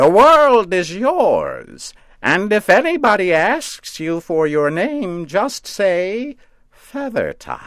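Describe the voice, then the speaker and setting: A man's high-pitched, put-on character voice at a very slow pace. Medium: read story. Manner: doting yet sardonic.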